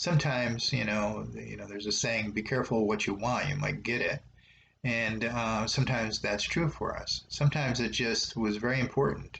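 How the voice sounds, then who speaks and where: A man's bright, sharp tone with vocal fry, at a moderate pace. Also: medium pitch for a man, ordinary pitch variation. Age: 70s. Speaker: meditation teacher. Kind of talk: guided meditation. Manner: halting.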